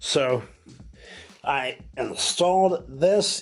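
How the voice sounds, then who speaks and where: There is music in the background. A man talks with ordinary pitch variation. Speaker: fishing vlogger. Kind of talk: casual vlog talk to camera. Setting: in his workshop. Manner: slow, careful speech; halting, stumbles over words.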